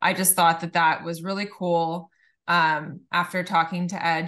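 Against a quiet background, a woman with a Californian accent speaks in a fairly low pitch with a bright, sharp tone. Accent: Californian American. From Southern California, Laguna Beach. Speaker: attorney. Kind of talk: casual interview.

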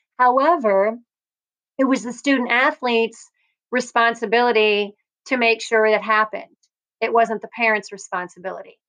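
A woman speaks at a moderate pace and a fairly high pitch, with fairly even intonation. She leaves long, frequent pauses. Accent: Midwestern US. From Iowa, Cedar Rapids. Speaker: volleyball coach. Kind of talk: interview.

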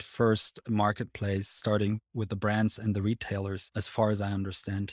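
A man with a Swiss accent speaks in a fairly low voice with monotone, flat intonation. The sound is dry and close with no echo, on a very clean recording with a silent background. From Switzerland. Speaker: podcast host. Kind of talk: interview.

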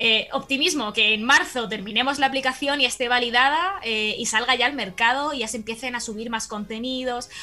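With a Spanish accent, a woman talks at a high pitch and fairly quick pace, with ordinary pitch variation, hardly any pauses, and noticeable background noise. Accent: Spanish (Spain). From Spain. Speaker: audiovisual communicator and startup co-founder. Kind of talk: casual interview.

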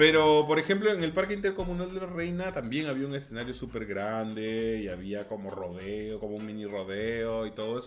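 Over noticeable background noise, a man talks at a fairly quick pace, his pitch swinging very widely. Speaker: podcast co-host. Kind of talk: casual chat. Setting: live stream.

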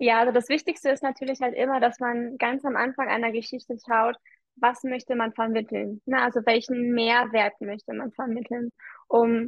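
A woman speaks at a high pitch in a monotone, flat intonation. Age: 30s. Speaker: marketing coach. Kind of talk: casual interview.

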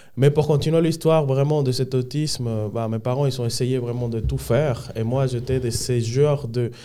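In a Spanish accent, a man speaks at a medium pitch with a dark, mellow tone. His pace is moderate, his intonation fairly even, and he hardly pauses. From Dominican Republic. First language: Spanish (speaking French). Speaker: podcast guest. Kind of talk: life story testimony. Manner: halting.

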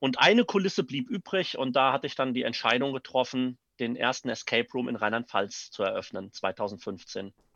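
Over a quiet background, a man with a bright, sharp tone at medium pitch talks at a moderate pace with hardly any pauses and lively intonation, recorded dry and close with no echo. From Neuwied, Rhineland-Palatinate, Germany. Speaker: actor and theatre director. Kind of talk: interview. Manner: hesitant with fillers.

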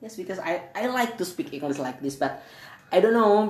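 A woman with an Indonesian accent, noticeable background noise. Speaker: podcast co-host. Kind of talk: casual chat. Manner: halting.

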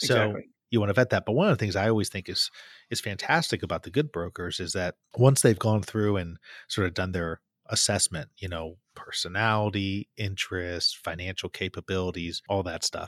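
A man's fairly low voice with ordinary pitch variation, on a very clean recording with a silent background and a dry, close sound with no echo. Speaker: podcast host. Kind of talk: conversational, explanatory. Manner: fast talker.

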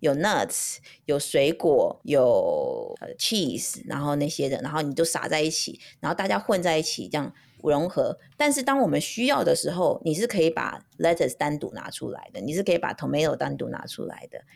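The very clean recording, with a silent background, captures a woman talking at a moderate pace. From Taiwan (Taipei). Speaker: podcast co-host, mother. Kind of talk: casual chat.

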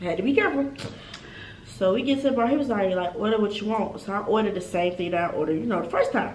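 Very fast female speech at a medium pitch with lively intonation, audible room echo and noticeable background noise. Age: 20s. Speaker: podcast co-host, college student. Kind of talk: casual chat, storytime.

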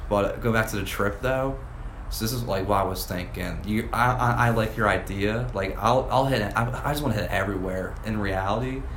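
Over noticeable background noise, the voice keeps a fairly quick pace and fairly even intonation. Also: man, medium pitch for a man. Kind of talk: casual chat. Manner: casual, laid-back.

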